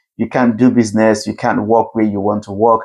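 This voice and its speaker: A man with a Nigerian accent talks at a fairly quick pace and medium pitch against a quiet background. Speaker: CEO and keynote speaker. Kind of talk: keynote talk.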